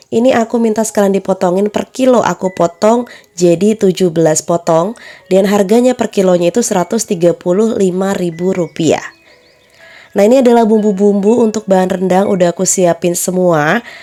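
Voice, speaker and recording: A woman talks at a fairly quick pace, her pitch medium with ordinary variation and her loudness very even. Music plays in the background. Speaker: home cook and catering vlogger. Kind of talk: cooking tutorial voiceover. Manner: slightly breathless.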